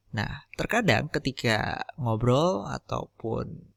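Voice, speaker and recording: A man speaks at a medium pitch, with a dry, close sound and no echo. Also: very clean recording, silent background. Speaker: podcaster teaching audio editing. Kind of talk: tutorial.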